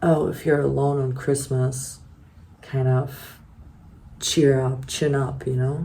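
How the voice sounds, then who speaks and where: Long, frequent pauses interrupt the very slowly paced speech. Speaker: vlogger. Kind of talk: casual vlog monologue. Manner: rambling, halting.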